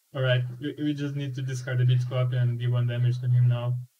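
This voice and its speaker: Speaking with a non-native accent, a man has a medium-pitched, dark, mellow voice that is somewhat breathy. He moves at a fairly quick pace. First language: not English. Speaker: game developer and student. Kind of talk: gameplay demonstration. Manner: animated; halting.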